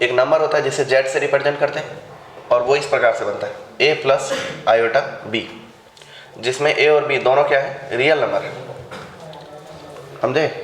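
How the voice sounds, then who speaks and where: At a fairly high pitch, a man speaks at a moderate pace in a monotone, flat intonation with long, frequent pauses, amid noticeable background noise and audible room echo. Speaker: maths teacher. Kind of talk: classroom lecture. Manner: interactive, questioning.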